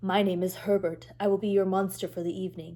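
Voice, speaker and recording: Putting on a growling, breathy character voice at medium pitch, a woman rattles along at a very fast pace. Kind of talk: polite, formal.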